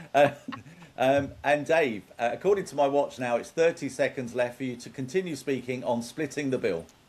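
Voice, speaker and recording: At a moderate pace, a man with an ordinary speaking voice talks at a fairly high pitch, with ordinary pitch variation and big swings in loudness. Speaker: game show host. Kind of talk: game show hosting.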